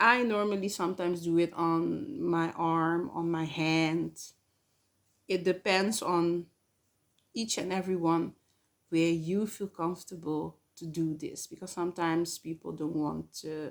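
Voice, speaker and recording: Fairly slow, fairly even speech with a non-native accent. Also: woman, fairly low pitch for a woman, very clean recording, silent background. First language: not English. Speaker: spiritual channel host. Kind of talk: spiritual talk to camera. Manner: hesitant, many fillers.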